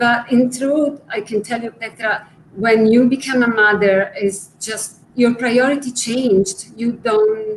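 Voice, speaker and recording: At a very slow pace with hardly any pauses, a woman with an Italian accent speaks at a fairly high pitch with fairly even intonation. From Italy. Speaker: art conservator. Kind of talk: interview.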